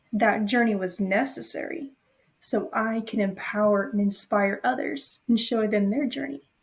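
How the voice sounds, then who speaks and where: A woman talks in an ordinary speaking voice at a fairly high pitch. Her pace is fairly slow, with ordinary pitch variation. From US South, Nashville, Tennessee. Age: 20s. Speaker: personal trainer, business owner. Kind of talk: podcast interview.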